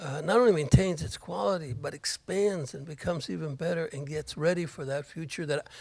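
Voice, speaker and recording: A somewhat breathy man at a fairly quick pace, fairly high in pitch, with ordinary pitch variation. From Miami. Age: 60s. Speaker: board candidate. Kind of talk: candidate forum answers. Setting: college library event with audience. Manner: halting, repeats words.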